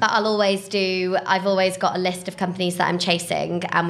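A fairly low-pitched woman at a fairly quick pace in a monotone, flat delivery, with noticeable background noise. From Papua New Guinea and South Wales. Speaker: recruitment business development director. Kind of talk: interview. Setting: shared office space.

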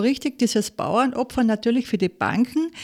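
A woman with a Salzburg accent speaks at a moderate pace in a high pitch. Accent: Austrian German, Salzburg. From Austria, Salzburg region (Pinzgau). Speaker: former restaurateur, food entrepreneur. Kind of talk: personal testimony interview. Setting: studio.

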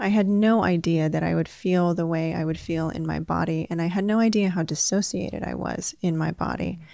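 Speaking at a fairly quick pace with hardly any pauses, a woman uses a calm tone and a dark, mellow sound at a fairly low pitch. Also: ordinary pitch variation. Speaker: sex therapist. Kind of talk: interview.

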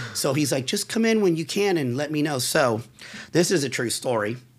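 Somewhat breathy and fairly high-pitched, a man talks at a moderate pace with very wide pitch swings. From central Florida, raised in Forest City/Altamonte. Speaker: business owner, motorcycle enthusiast. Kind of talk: casual interview chat. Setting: studio at motorcycle dealership.

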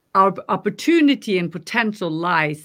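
A woman talks with a Norwegian accent at a medium pitch. The recording is very clean, with a silent background. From Norway. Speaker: life coach. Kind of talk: interview.

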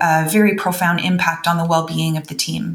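There is a Canadian accent, heard with noticeable background noise. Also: woman. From Canada. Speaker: veterinarian and wellness educator. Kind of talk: interview.

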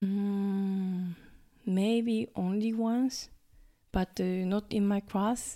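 Recorded very cleanly against a silent background, a woman speaks at medium pitch with a Japanese accent. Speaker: high school English teacher. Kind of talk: interview. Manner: hesitant, with many fillers.

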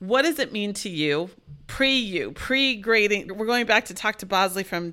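This is an ordinary speaking voice from a woman at a medium pitch, with lively intonation. She talks fairly slowly on a very clean recording with a silent background. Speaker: college math instructor and podcast co-host. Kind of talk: casual co-host conversation about grading.

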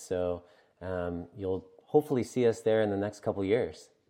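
With a Maritime Canadian accent, a man talks at a moderate pace in a dark, mellow tone. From Atlantic Canada. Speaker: brewery founder. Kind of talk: interview.

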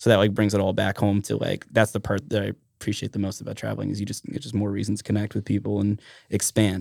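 Vocal fry runs through a man's fairly low voice as he speaks very fast in a monotone, flat intonation. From Alaska, Mat-Su area (Trapper Creek). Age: 30s. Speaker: musician and tour manager. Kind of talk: casual chat.

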